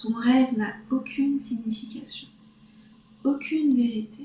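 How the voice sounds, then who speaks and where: The speaker is female. A somewhat breathy quality runs through her voice. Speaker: reader. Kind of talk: read story.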